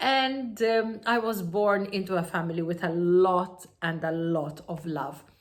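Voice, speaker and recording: A woman with a Maltese accent, hardly any pauses, ordinary pitch variation and audible room echo. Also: medium pitch for a woman, fairly slow pace. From Malta. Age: 50s. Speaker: entrepreneur and self-help speaker. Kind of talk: personal story monologue. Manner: halting with many fillers.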